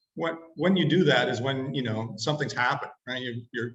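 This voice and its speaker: At a fairly quick pace, a man with a Canadian accent and an ordinary speaking voice talks at medium pitch with ordinary pitch variation. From Canada. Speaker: webinar presenter. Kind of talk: webinar talk.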